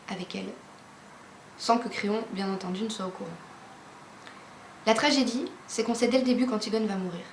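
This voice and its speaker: Against noticeable background noise and audible room echo, a woman talks at a fairly quick pace with a fairly high pitch. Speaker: literature explainer youtuber. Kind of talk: educational explainer.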